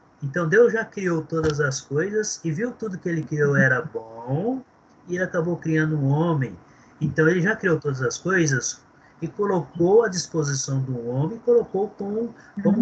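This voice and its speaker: A man's high-pitched voice with lively intonation at a moderate pace, over noticeable background noise. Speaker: theology teacher. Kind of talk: lecture.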